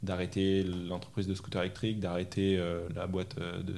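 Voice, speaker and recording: Audible room echo surrounds a man with a very deep, low pitch who speaks at a moderate pace. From France, Normandy and Paris region. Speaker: coding school manager. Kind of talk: interview. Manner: hesitant, many repetitions.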